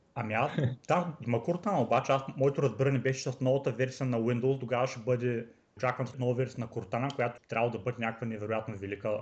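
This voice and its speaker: A man speaks at a very fast pace. His voice is somewhat breathy. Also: medium pitch for a man, ordinary pitch variation. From Bulgaria, Varna. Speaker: software developer. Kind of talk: casual chat.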